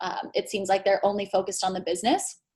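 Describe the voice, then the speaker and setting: At a fairly quick pace, a woman is speaking. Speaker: leadership workshop presenter. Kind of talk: online masterclass presentation. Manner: fast.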